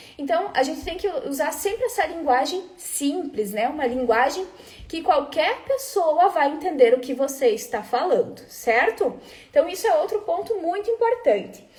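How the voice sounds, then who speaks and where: A woman speaks at an extremely high pitch with very wide pitch swings. Noticeable background noise sits behind her. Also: moderate pace. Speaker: food quality trainer. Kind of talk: live webinar talk. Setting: live stream.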